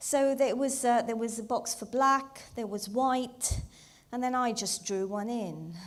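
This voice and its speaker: A woman speaks with ordinary pitch variation. Audible room echo surrounds the voice. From Zambia, Indian heritage. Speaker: comedian. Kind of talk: stand-up. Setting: stage with audience.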